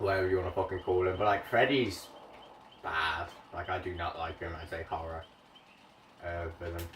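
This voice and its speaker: Noticeable background noise accompanies speech that stops often for long pauses. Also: man, very deep, low pitch for a man, moderate pace. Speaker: gaming streamer. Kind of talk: casual live-stream commentary. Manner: animated.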